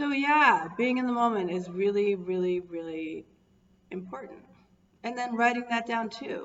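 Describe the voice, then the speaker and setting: With lively intonation and a fairly high pitch, a woman speaks at a moderate pace amid noticeable background noise and audible room echo. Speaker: wellness coach. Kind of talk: live stream talk. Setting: Facebook live video.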